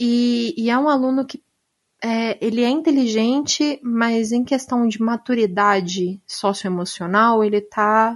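A plain, everyday voice: a woman at a fairly high pitch, fairly slow pace and ordinary pitch variation. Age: 20s. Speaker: teacher and author. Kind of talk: casual chat.

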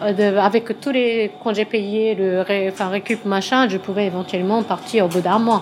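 A woman's medium-pitched voice with a Japanese accent, fairly slow and fairly even in intonation, over noticeable background noise. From Japan, Tokyo. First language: Japanese (speaking French). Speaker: pastry consultant. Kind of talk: interview. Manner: halting.

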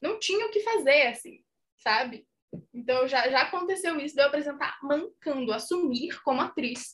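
At a moderate pace, a woman talks in a high voice with lively intonation. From Minas Gerais, Brazil. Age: 20s. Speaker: actress and content creator. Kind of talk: casual chat.

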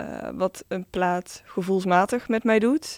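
Recorded with a dry, close sound and no echo, a woman speaks at a very slow pace. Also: very clean recording, silent background. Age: 20s. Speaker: DJ. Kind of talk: casual interview.

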